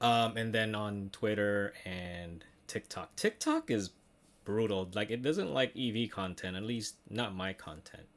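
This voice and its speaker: A man delivers his words very slowly in a very clean recording where the background is silent. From Philippines (Manila). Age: 40s. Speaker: tech YouTuber. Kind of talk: casual livestream chat. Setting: home studio. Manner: casual, many fillers.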